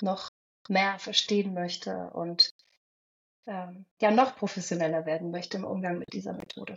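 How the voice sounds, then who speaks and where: A woman speaks at a medium pitch with a somewhat breathy quality. Her pitch varies in an ordinary way, and her pace is moderate. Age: 40s. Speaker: hypnosis coach. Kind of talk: interview.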